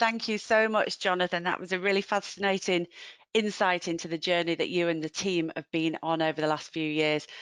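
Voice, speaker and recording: A woman speaks in a Yorkshire accent, the sound dry and close with no echo. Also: medium pitch for a woman, ordinary pitch variation. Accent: Yorkshire drawl. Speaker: webinar host. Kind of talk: webinar hosting. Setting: online webinar.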